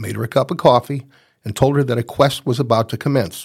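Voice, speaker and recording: Somewhat breathy and at a fairly quick pace, a man talks in a medium pitch with ordinary pitch variation. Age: 70s. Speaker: podcast host, senior magazine columnist. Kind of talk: scripted narration.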